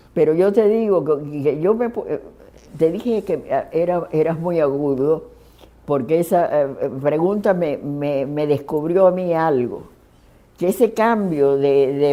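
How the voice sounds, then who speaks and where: At a fairly slow pace, a woman speaks with a very deep, low pitch. Her intonation is lively. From Cuba, Matanzas and Havana. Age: 80s+. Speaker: poet. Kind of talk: interview. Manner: halting.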